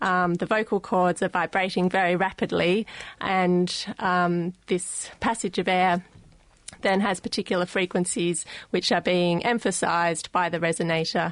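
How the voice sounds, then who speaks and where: Speaking with an Australian accent, a woman holds a medium pitch at a fairly slow pace, her intonation monotone and flat and her loudness very even. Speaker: speech scientist. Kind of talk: interview. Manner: hesitant, frequent ums.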